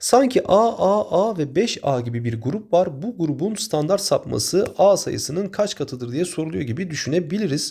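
Pitched high, a man talks at a fairly slow pace in a dark, mellow tone, his voice swinging very widely in pitch. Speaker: math teacher. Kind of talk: tutorial.

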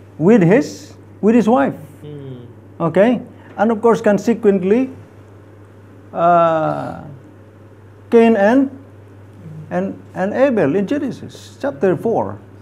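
A man with a high voice and a dark, mellow tone talks at a very slow pace, with very wide pitch swings and long, frequent pauses. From Philippines. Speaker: theology lecturer. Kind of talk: Bible study lesson. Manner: hesitant, many fillers. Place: meeting room.

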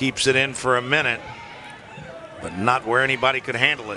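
With crowd noise in the background, a man speaks in an upbeat tone at a moderate pace, his medium pitch showing ordinary variation. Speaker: play-by-play commentator. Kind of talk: live sports commentary. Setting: broadcast booth above the field. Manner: self-correcting, upbeat and lively, rising in pitch on big moments.

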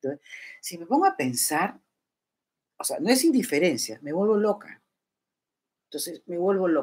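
Speaking at a moderate pace, a woman uses an animated tone with very wide pitch swings, big swings in loudness, and long, frequent pauses. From Peru. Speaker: YouTuber. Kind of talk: casual livestream chat. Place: home room. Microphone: webcam.

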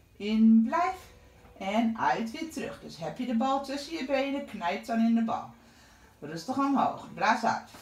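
A woman speaks at a fairly slow pace, her pitch swinging very widely. Her loudness rises and falls a lot, and room echo is audible. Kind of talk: exercise class instruction. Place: home room. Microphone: camera far.

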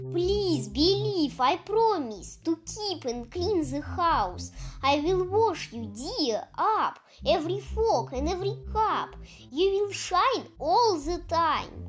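A woman's extremely high voice at a very slow pace. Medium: read story. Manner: pleading, remorseful.

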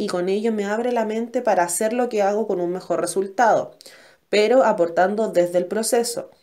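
A woman speaks at a fairly quick pace in a dark, mellow tone. Her pitch varies in an ordinary way. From Chile, Valparaíso region. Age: 20s. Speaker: law student. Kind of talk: scripted class presentation. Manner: formal.

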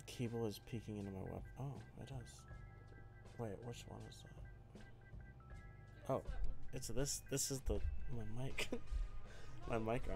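Over clear background music, a man speaks at a very slow pace, leaving long, frequent pauses. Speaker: keyboard streamer. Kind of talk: casual live stream chat. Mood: relaxed, amused. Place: home room. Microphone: studio mic.

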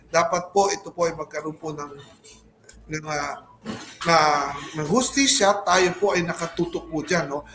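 Noticeable background noise sits behind a man with a high pitch and ordinary pitch variation. He speaks at a fairly slow pace with long, frequent pauses. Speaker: congressman. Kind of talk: interview. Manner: halting.

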